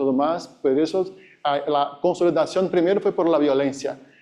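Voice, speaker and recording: A dark, mellow tone with a Brazilian accent, ordinary pitch variation and a moderate pace. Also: man. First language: Portuguese (speaking Spanish). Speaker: academic conference speaker. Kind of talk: conference presentation. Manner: halting.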